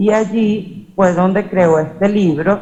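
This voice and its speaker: This woman's voice has a dark, mellow tone and fairly even intonation as she speaks at a very slow pace. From Venezuela. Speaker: academic conference speaker. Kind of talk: conference presentation. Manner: hesitant, many filler sounds.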